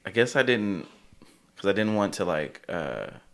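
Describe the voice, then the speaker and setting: A man speaks with very wide pitch swings. Vocal fry runs through his voice. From California. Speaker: drag king and podcast guest. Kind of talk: casual chat. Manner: animated.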